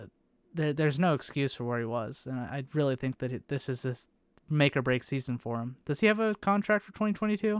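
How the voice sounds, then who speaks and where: Talking very fast, a man with an American accent uses a fairly high pitch, very wide pitch swings and big swings in loudness. The recording is very clean and silent in the background, with a dry, close sound and no echo. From United States. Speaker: motorsport podcast host. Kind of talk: casual chat.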